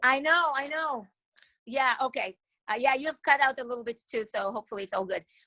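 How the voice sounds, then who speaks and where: A woman's raised, projected voice, high in pitch and bright and sharp in tone, with very wide pitch swings and a dry, close sound with no echo. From Israel. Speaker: author and educator. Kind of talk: interview.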